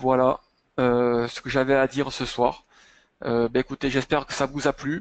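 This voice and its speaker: A man with a slight southern French accent speaks at a moderate pace and a medium pitch, with monotone, flat intonation and long, frequent pauses. The sound is dry and close with no echo, and the background is quiet. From southern France, Montpellier area. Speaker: chartered accountant. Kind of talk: webinar presentation and Q&A. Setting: online webinar. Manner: hesitant, many fillers.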